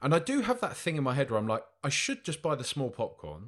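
Spoken with an English accent, the recording is very clean with a silent background. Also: man. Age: 30s. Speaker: podcast co-host. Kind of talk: casual chat.

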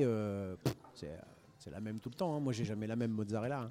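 A man speaks at a medium pitch with ordinary pitch variation. His tone is dark and mellow. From northern France (Denain), Italian parents. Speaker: restaurateur. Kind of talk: casual chat. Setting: live radio recording in a record shop.

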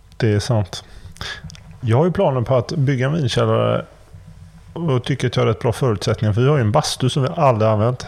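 A man talks at a very fast pace and a medium pitch, with long, frequent pauses and ordinary pitch variation. His voice is somewhat breathy and very even in loudness. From Sweden, Gothenburg. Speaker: podcast host. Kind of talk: casual chat. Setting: remote recording.

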